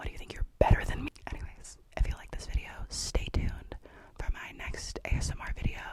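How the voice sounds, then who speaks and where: A woman talks at a fairly quick pace, her loudness swinging widely. Noticeable background noise runs underneath. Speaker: ASMR creator and book reviewer. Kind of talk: ASMR whispering. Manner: whispering; normally loud.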